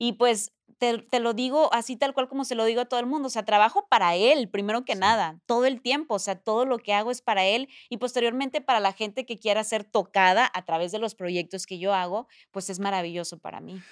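Recorded very cleanly against a silent background, a woman's fairly high voice, with ordinary pitch variation, sounds dry and close with no echo as she talks with hardly any pauses. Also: fairly quick pace. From Mexico. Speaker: TV presenter and entrepreneur. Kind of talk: casual interview.

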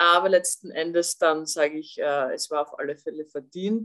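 Ordinary pitch variation shapes an ordinary speaking voice. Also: woman. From Austria. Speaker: former national football player and TV pundit. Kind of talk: podcast interview.

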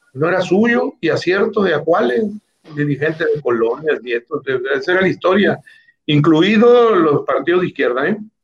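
This man's voice sits high. His intonation rises and falls in a lively way. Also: moderate pace. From Mexico, Baja California Sur. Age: 60s. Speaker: politician, former federal official. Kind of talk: interview.

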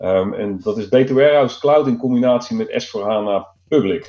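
Against a quiet background, a man speaks at a moderate pace with a dark, mellow tone. His pitch variation is ordinary. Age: 40s. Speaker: IT consultant. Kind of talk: casual chat.

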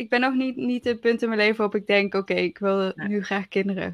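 Recorded dry and close with no echo against a quiet background, a woman talks at a medium pitch. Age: 20s. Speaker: podcast co-host. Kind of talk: casual chat. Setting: remote recording from home.

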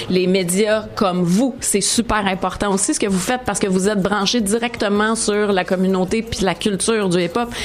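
A woman with fairly even intonation and very even loudness, over noticeable background noise. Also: medium pitch for a woman, moderate pace, hardly any pauses. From Montreal, Quebec (Maisonneuve). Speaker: TV columnist and host. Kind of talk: interview.

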